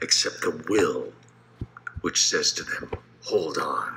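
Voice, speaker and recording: Light background noise runs under this recording. A man talks at a very slow pace. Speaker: voice actor. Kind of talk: poetry reading. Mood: solemn, measured delivery. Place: home room. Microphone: phone near.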